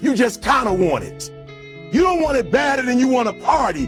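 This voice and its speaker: An extremely high-pitched man's voice with an intense tone and very wide pitch swings, over music in the background. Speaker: motivational speaker. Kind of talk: live motivational speech to an audience. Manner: intense, preaching.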